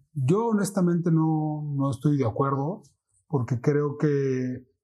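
A man speaks at a fairly slow pace, his voice somewhat breathy, with ordinary pitch variation. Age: 40s. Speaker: financial advisor. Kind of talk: casual interview.

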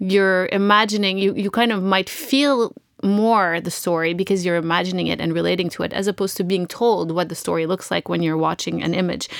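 A woman's normal speaking voice at medium pitch, in a very clean recording with a silent background. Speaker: podcast host. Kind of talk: casual interview.

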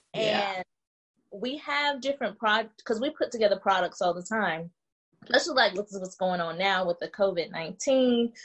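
Moving at a moderate pace, a woman uses a plain, everyday voice at medium pitch with lively intonation. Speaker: business owner, soldier. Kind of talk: casual interview.

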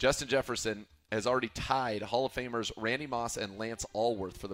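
A man talks with fairly even intonation at a medium pitch. It is an ordinary speaking voice. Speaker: radio host. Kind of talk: casual sports talk.

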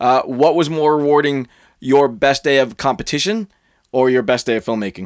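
This is a plain, everyday voice of a man with a fairly high pitch, talking at a moderate pace. The recording is very clean, with a silent background. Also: ordinary pitch variation. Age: 40s. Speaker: podcast host. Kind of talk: interview.

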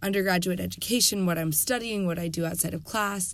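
Fairly low in pitch, a woman speaks with an American accent and fairly even intonation. She has a normal speaking voice. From US South, North Carolina. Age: 20s. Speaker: undergraduate student and activist. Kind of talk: casual interview chat.

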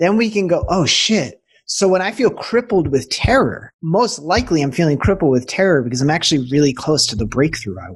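Speaking at a fairly quick pace with hardly any pauses, a man with an American accent and a fairly high pitch uses very wide pitch swings and vocal fry. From Boston suburbs, US. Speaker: transformational business coach. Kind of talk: casual interview chat.

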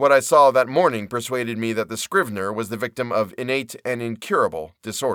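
What we hear is plain reading aloud.

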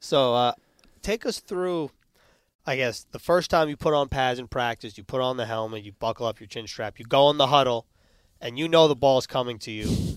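At medium pitch, a man speaks at a moderate pace in an unremarkable speaking voice with ordinary pitch variation and big swings in loudness. The recording is very clean, with a silent background. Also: dry, close sound with no echo. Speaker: team reporter, podcast host. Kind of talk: podcast interview.

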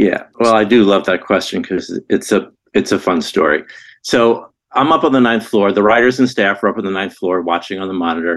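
Against a quiet background, a man speaks in a normal speaking voice, fairly low in pitch with ordinary pitch variation. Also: fairly quick pace. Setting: remote call.

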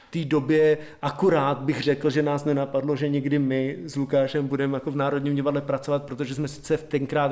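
A man's fairly high voice in a monotone, flat intonation at a fairly quick pace. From Slovakia, Púchov. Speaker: theatre director. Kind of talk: interview. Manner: hesitant, many fillers.

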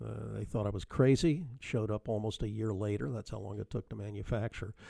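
A man talks at a fairly quick pace in a relaxed tone, his voice dark and mellow. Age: 60s. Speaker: car podcast host. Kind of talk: casual interview chat. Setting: remote call. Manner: relaxed, hesitant with fillers.

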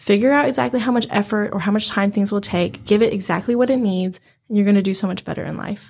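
The voice is somewhat breathy and moves at a very fast pace, with ordinary pitch variation. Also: woman, medium pitch for a woman. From China. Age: 20s. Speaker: teacher. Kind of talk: casual chat.

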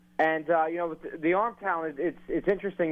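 A man with an American accent speaks at a fairly quick pace in an ordinary speaking voice. His pitch is fairly high, and his intonation is fairly even. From New Jersey (Westfield). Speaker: sports newspaper reporter. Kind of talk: interview. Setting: phone call.

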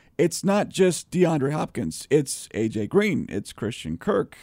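Fairly high, dark, mellow man's voice with vocal fry and very wide pitch swings at a fairly slow pace, on a very clean recording with a silent background. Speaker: sports podcast host. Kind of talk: casual sports discussion.

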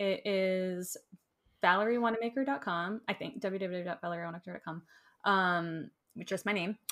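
In a normal speaking voice, a woman talks at a fairly quick pace with a medium pitch and ordinary pitch variation. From Florida, US. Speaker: enneagram teacher and social worker. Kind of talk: casual interview chat. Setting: video call.

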